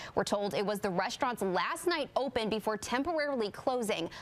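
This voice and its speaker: Fairly high-pitched woman with an American accent, lively intonation and a moderate pace, over noticeable background noise. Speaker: local TV news anchor and reporter. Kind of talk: TV news anchor read. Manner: professional, serious, clear.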